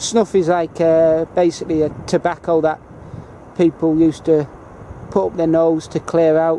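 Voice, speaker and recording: Spoken at a fairly slow pace in a Northern English accent, the clip has noticeable background noise. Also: man. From northern England, Kendal, Cumbria. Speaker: travel vlogger. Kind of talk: casual guided tour. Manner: hesitant, many fillers.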